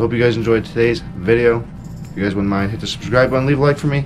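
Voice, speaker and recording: Music plays behind a man who talks at a very fast pace with ordinary pitch variation. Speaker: fishing vlogger. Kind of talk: casual vlog chat. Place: home room. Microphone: phone near.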